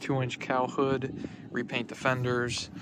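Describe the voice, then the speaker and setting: Noticeable background noise surrounds this recording. A man with a medium pitch speaks at a fairly slow pace. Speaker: car hobbyist vlogger. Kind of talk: casual video walkthrough. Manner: hesitant, many fillers.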